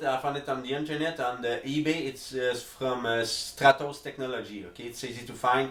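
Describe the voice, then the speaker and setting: At a moderate pace, a man with a French accent speaks at a fairly high pitch, with audible room echo. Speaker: music producer, beatmaker. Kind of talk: tutorial. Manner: halting, many fillers.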